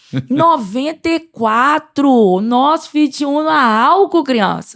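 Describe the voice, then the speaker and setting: Very slowly, a woman speaks at a high pitch with lively intonation. The recording is very clean, with a silent background. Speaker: church podcast co-host. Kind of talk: testimony. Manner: animated.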